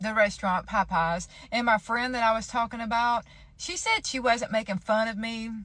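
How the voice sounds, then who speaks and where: With a Southern US accent, a woman speaks in a fairly high pitch at a moderate pace, her tone bright, sharp and playful, with ordinary pitch variation. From Georgia, US. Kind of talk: casual talk to camera. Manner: chatty, playful.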